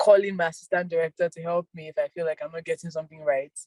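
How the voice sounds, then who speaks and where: Music plays in the background as a woman with a fairly low pitch speaks with ordinary pitch variation in a dry, close sound with no echo. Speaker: actress and filmmaker. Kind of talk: interview. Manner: not loud.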